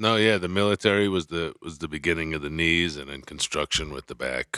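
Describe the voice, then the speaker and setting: A man with an American accent talks at a fairly quick pace with hardly any pauses, in a bright, sharp tone with big swings in loudness. The recording is very clean with a silent background, and the sound is dry and close with no echo. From New York. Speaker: comedian and actor. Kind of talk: casual chat.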